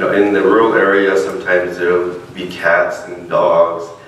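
A man talks at a moderate pace. Audible room echo and light background noise surround his voice. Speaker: minister. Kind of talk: sermon. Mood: warm personal storytelling. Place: church.

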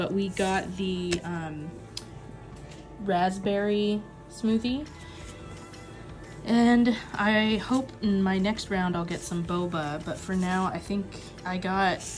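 Over clear music in the background, a woman speaks at a very slow pace with long, frequent pauses and ordinary pitch variation. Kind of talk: casual vlog chat. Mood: excited, delighted. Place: home room. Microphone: phone near.

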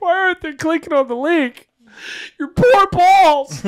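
The voice is a put-on character voice at an extremely high pitch. It moves at a moderate pace. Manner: mock crying.

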